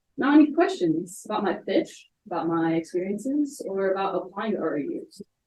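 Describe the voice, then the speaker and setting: A woman talks at a moderate pace with very wide pitch swings. Audible room echo and light background noise are present. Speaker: college student presenter; presenter. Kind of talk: student presentation. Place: hall. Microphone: camera far.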